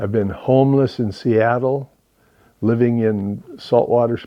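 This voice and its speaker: A man with an American accent, medium-pitched, at a very slow pace with fairly even intonation. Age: 70s. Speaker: van life vlogger. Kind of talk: casual monologue. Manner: halting.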